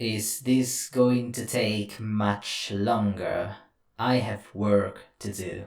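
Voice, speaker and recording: A man's raspy put-on character voice, fairly low in pitch, at a very slow pace. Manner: irritated, curt.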